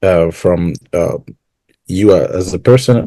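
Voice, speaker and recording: A man speaks with a French accent. His tone is dark and mellow. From France. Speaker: interviewer. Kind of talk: interview. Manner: halting.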